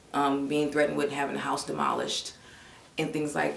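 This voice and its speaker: Flat, monotone delivery from a woman with an American accent and very deep, low pitch, amid noticeable background noise and audible room echo. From West Oakland, California. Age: 20s. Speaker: law student. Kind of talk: interview testimony. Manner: hesitant with many fillers.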